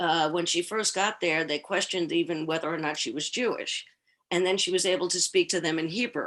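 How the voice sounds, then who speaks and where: A woman with an American accent and a plain, everyday voice at a medium pitch, with lively intonation, a fairly quick pace and a quiet background. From New York, Queens. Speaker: Holocaust family historian, speaker. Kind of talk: Q&A after presentation.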